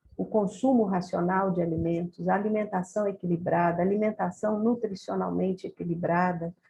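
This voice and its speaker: Dark and mellow in tone, a woman's somewhat breathy, mid-pitched voice moves at a moderate pace with hardly any pauses. Her loudness stays very even and her intonation fairly flat. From Brazil, Rio de Janeiro. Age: 60s. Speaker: nutrition professor. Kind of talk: lecture. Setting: video call.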